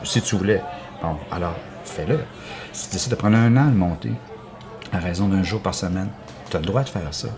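Music plays in the background as a man with a very deep, low pitch speaks in a Quebec accent with lively intonation. His pace is fairly quick, broken by long, frequent pauses. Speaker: theatre artist. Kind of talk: casual chat.

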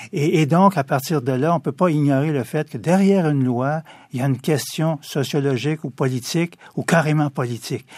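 A man's plain, everyday voice, fairly high-pitched with ordinary pitch variation and a fairly quick pace, in a very clean recording with a silent background and a dry, close sound with no echo. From Quebec, Montreal east end. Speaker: lawyer. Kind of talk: radio interview.

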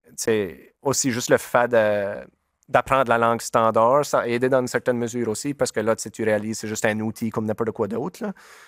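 A man with a Nova Scotia Acadian accent at a medium pitch, fairly quick pace and fairly even intonation, on a very clean recording with a silent background and a dry, close sound with no echo. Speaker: musician. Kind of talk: interview. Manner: halting.

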